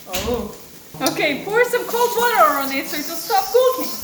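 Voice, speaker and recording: A woman with a non-native accent and an animated tone, moderate pace and very wide pitch swings, with audible room echo and noticeable background noise. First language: not English. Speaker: home cook vlogger. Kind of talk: casual cooking tutorial.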